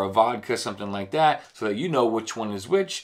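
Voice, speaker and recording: A man is speaking. The background is quiet. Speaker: travel vlogger. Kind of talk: casual vlog tutorial. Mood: jokey, relaxed. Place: home room.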